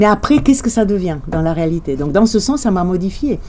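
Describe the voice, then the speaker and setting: Over noticeable background noise, a woman talks with lively intonation. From Romania, Bucharest. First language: Romanian (speaking French). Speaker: journalist. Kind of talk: interview.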